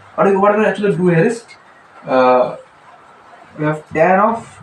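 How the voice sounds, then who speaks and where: A man speaks over noticeable background noise. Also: long, frequent pauses. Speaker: math teacher. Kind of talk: tutorial. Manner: hesitant, many fillers; fast.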